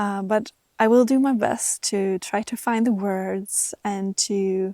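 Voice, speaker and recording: A woman with a medium-pitched voice and a dark, mellow tone is captured in a very clean recording, dry and close with no echo against a silent background. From Sweden. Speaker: spiritual guide. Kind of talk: casual talk to camera. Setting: outdoors in a forest. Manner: halting.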